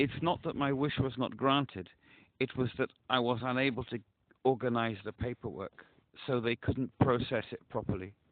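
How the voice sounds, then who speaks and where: A man with an ordinary speaking voice talks at medium pitch and a moderate pace, keeping his intonation fairly even. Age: 60s. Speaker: caller. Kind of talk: phone call to crisis hotline. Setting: phone call.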